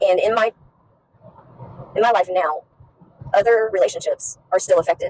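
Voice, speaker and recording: Long, frequent pauses break up a woman's moderate-paced speech, her loudness very even and the sound dry and close with no echo. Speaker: recovered addict sharing faith story. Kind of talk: testimony. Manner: halting.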